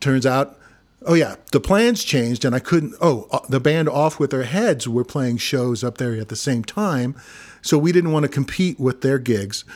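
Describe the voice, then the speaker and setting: On a very clean recording with a silent background, a man with an American accent talks at a moderate pace in a plain, everyday voice. His pitch is fairly high, with lively intonation. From Missouri, US. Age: 50s. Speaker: singer-songwriter and guitarist. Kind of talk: casual interview chat.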